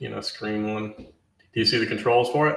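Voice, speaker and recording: Light background noise and audible room echo surround a man speaking at a medium pitch and a fairly quick pace. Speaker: live stream host. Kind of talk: interview; interview question. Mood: friendly, relaxed. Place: home room.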